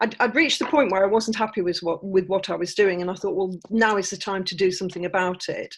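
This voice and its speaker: Speaking at a very fast pace, a woman has an English accent. She leaves hardly any pauses. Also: medium pitch for a woman, ordinary pitch variation. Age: 60s. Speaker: author. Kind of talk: interview. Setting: podcast interview.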